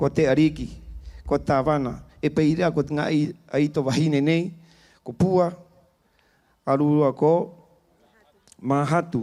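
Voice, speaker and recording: With an Easter Island accent, a man speaks at a fairly slow pace in a dark, mellow tone and fairly high pitch, leaving long, frequent pauses. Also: fairly even intonation. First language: Rapa Nui (speaking Spanish). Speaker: spiritual leader giving a blessing. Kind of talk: blessing prayer at festival opening. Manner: solemn.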